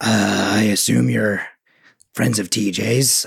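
A man does a put-on character voice. It sounds raspy and fairly low in pitch. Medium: actual play. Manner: gruff, commanding.

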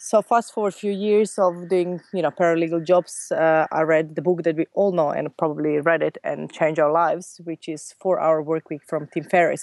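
Against a quiet background, with a dry, close sound and no echo, a woman speaks at a moderate pace with hardly any pauses, her unremarkable speaking voice fairly low in pitch and fairly even in intonation. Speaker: entrepreneur. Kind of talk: casual interview.

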